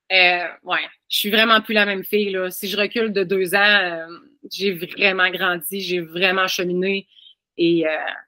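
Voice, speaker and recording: At a fairly slow pace, a woman in a Quebec accent speaks at medium pitch with a bright, sharp tone and monotone, flat intonation. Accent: Québécois. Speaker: family constellation practitioner. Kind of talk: podcast interview.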